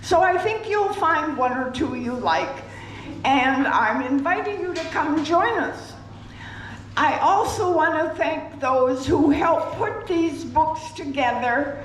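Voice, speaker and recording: A woman speaks with an extremely high pitch and lively intonation at a very slow pace. Audible room echo and noticeable background noise surround her. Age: 80s+. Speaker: resident leading a sing-along. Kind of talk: announcement to audience.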